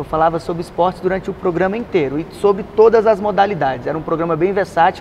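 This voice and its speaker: Over noticeable background noise, a man speaks at a very fast pace with hardly any pauses. His pitch is high, with ordinary pitch variation. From Brasília, Brazil. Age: 30s. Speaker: radio presenter. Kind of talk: interview answer. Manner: casual, conversational.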